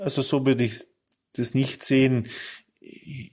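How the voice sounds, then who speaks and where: The recording is very clean with a silent background as a man talks at a fairly slow pace. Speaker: politician. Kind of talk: interview. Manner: halting.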